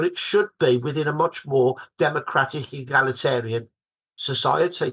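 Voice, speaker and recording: A man with a Birmingham accent speaks at a fairly high pitch, his pitch varying in an ordinary way. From Birmingham, England. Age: 60s. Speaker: historian. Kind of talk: podcast interview.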